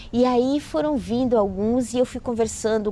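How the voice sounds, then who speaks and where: A woman's dark, mellow tone at a fairly slow pace. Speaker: writer and educator. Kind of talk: interview storytelling.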